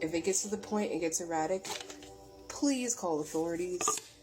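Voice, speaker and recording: A woman's medium-pitched voice with ordinary pitch variation, moderate pace, very even loudness, long, frequent pauses and noticeable background noise. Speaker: spiritual reader. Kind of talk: spiritual message vlog. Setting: getting ready for work at home.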